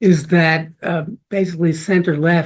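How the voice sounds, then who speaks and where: A man with a high voice talks at a fairly slow pace. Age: 80s+. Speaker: law professor, book co-author. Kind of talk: book launch talk. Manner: halting, many fillers.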